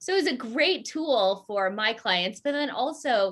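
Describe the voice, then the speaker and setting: Lively intonation and a fairly slow pace from a woman in a General American accent, an ordinary speaking voice. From Southern California and Colorado. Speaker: company founder and CEO. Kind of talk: interview.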